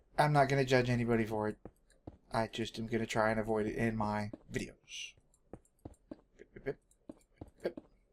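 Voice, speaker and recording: With an American accent, a man speaks at a medium pitch and a fairly quick pace, using fairly even intonation, big swings in loudness, and long, frequent pauses. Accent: Texan, strength disputed. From Texas. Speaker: gaming video creator. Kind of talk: gameplay commentary. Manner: casual, hesitant with fillers.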